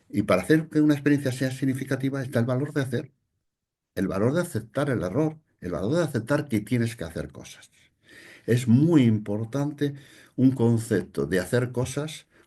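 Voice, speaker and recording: A man's dark, mellow voice at medium pitch and moderate pace, over a quiet background. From Spain, Palencia (Castile). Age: 60s. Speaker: psychologist and conference speaker. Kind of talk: lecture. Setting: online conference.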